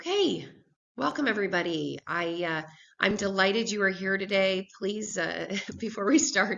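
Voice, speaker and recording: Speaking at a moderate pace, a woman with vocal fry keeps to a medium pitch with ordinary pitch variation. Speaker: business development director presenting. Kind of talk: business presentation webinar.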